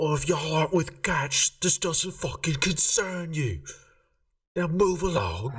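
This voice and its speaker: A put-on character voice sits at a middle pitch. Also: moderate pace. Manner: gruff, dismissive, menacing.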